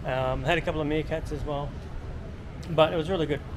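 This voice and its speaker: A man is speaking. Background noise is noticeable throughout. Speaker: travel vlogger. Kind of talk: casual vlog chat. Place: street. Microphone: phone near.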